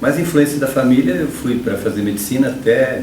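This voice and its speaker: There is audible room echo and noticeable background noise as a man speaks. His pitch is medium and his pace fairly quick. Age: 60s. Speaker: electrical engineering professor. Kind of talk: interview.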